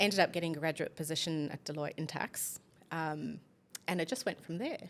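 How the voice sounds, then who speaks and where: Speaking at a fairly quick pace, a woman has a fairly low pitch and a slight South African accent. The recording is very clean, with a silent background. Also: ordinary pitch variation. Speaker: business executive. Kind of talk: podcast interview.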